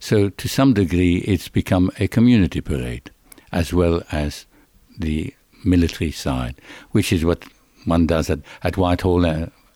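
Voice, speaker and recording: In a dry, close recording with no echo, a man with a very deep, low pitch and a dark, mellow tone speaks at a moderate pace with lively intonation. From Belgium. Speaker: veterans association representative. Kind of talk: interview.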